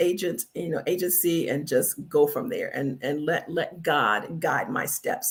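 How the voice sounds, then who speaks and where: Somewhat breathy, a woman with a fairly low pitch talks at a fairly slow pace. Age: 60s. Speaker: retiree and travel agency owner. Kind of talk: live stream talk. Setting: live stream on social media. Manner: halting with many fillers.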